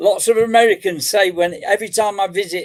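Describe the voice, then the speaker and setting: English-accented male speech with ordinary pitch variation. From England, Nottingham. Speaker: metal detectorist. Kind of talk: casual chat.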